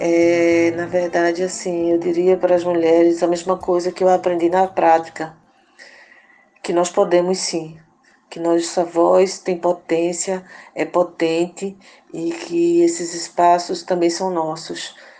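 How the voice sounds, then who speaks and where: This woman talks at a very slow pace in a fairly low pitch, with a dark, mellow tone and monotone, flat intonation. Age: 50s. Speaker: community activist and radio organizer. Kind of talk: interview. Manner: halting.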